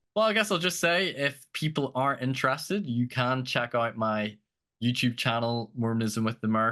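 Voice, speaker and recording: Against a quiet background, a man at medium pitch speaks at a moderate pace with a bright, sharp tone and ordinary pitch variation. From outside the United States. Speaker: podcast host, guest. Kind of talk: interview podcast.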